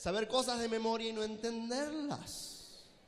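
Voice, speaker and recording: An extremely high-pitched, animated male voice with ordinary pitch variation, audible room echo and noticeable background noise. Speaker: preacher and theologian. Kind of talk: sermon. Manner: fast.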